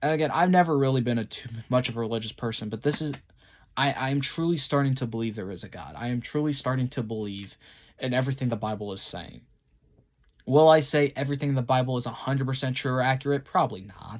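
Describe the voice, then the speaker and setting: A man at a medium pitch with ordinary pitch variation, a very fast pace and big swings in loudness, in a very clean recording with a silent background. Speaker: vlogger. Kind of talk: personal vlog monologue. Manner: halting, stumbling over words.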